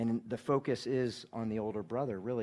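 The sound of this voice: With fairly even intonation, someone reads in an unforced voice.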